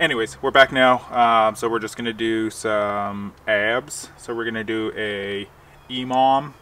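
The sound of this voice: Fairly even intonation and a bright, sharp tone mark a man's medium-pitched voice.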